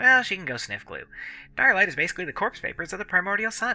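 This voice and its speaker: A put-on character voice, raised and projected, at a middle pitch and a very fast pace, with faint music in the background. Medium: read story. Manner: flippant, teasing.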